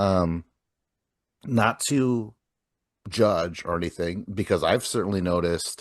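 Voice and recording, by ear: A man speaks slowly at a low pitch. His pitch varies in an ordinary way.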